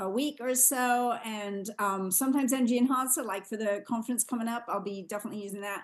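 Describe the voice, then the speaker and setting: This woman talks at a fairly quick pace. Her fairly high voice shows ordinary pitch variation. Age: 60s. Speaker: co-host of a product call. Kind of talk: testimony.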